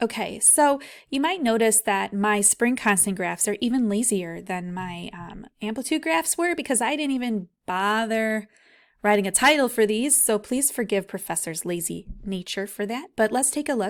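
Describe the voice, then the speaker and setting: In a very clean recording with a silent background, a woman with an unremarkable speaking voice talks at a moderate pace, her fairly high pitch rising and falling in lively intonation. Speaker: physics professor. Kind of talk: tutorial. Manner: casual.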